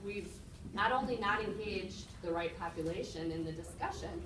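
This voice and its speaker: A woman speaks with an American accent. The recording has noticeable background noise and audible room echo. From Minnesota (Shakopee). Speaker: community committee member, real estate agent. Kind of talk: public meeting remarks.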